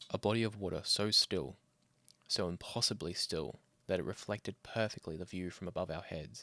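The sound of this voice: A man speaks at a low pitch and a moderate pace, in a fairly bright tone with ordinary pitch variation. The sound is dry and close, with no echo.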